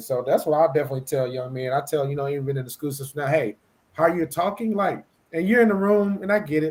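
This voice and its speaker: A man speaks at a fairly high pitch with an American accent and lively intonation. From Mississippi, US South. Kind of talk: casual discussion. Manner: fast at times; stumbles over words.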